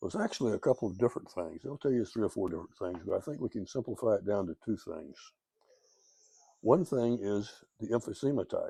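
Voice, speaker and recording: Against a quiet background, a man with a dark, mellow tone talks very fast with lively intonation. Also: medium pitch for a man, dry, close sound with no echo. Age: 80s+. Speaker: COPD patient sharing advice. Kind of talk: informal explainer video. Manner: casual, conversational.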